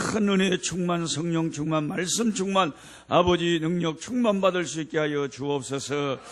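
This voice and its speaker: A man takes a fairly slow pace. Behind him, the background noise is noticeable. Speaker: missionary preacher. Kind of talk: revival sermon; congregational prayer. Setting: church service. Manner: fervent, repetitive prayer style.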